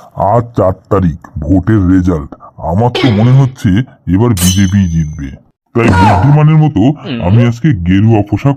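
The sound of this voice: A man puts on a cartoonish character voice, fairly low in pitch. He moves at a moderate pace.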